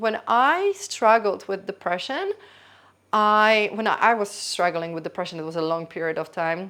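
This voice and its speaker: Speaking with a Polish accent, a woman with a medium pitch and a bright, sharp tone talks at a moderate pace with ordinary pitch variation in a very clean recording with a silent background. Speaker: YouTuber. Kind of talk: casual vlog monologue. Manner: spontaneous, halting with self-corrections.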